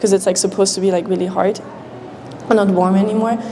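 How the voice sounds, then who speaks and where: A woman with a German accent talks in a flat monotone over noticeable background noise. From Austria. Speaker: international student. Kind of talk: informal presentation.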